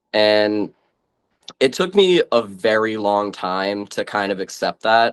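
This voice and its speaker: A man speaks very slowly in an Eastern New England accent. His pitch is fairly low. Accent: Eastern New England (Massachusetts) American. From Massachusetts, US. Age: 20s. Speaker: interview guest. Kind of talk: interview. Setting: video call.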